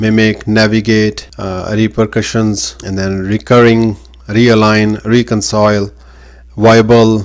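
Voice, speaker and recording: In a non-native accent, a man speaks at a very slow pace in a fairly low, monotone voice with flat intonation. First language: not English. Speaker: online business communication teacher. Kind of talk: tutorial. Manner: hesitant, many fillers.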